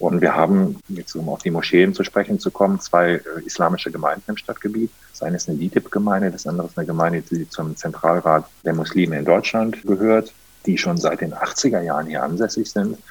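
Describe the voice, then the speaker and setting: Speaking at a fairly quick pace, a man uses a very deep, low voice. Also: ordinary pitch variation. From Germany, Rhineland (Monheim am Rhein, between Cologne and Düsseldorf). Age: 30s. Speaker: mayor. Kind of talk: interview.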